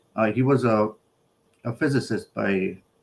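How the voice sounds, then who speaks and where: Fairly low male speech with ordinary pitch variation. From New York City, from age 13; born North Macedonia. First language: Macedonian. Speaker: electrical engineer and business buyer. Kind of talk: live interview.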